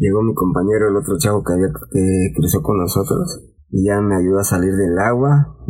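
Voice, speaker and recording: A man speaks at a moderate pace in a fairly low pitch with very even loudness. His is a plain, everyday voice. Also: ordinary pitch variation. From Mexico, Veracruz port. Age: 40s. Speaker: security guard and former migrant. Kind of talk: personal testimony in interview.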